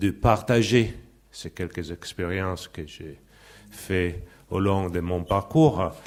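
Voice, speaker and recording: A man at a fairly low pitch and a very slow pace, with ordinary pitch variation, on a very clean recording with a silent background. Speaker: sociology professor. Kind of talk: conference talk. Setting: conference with audience. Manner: halting.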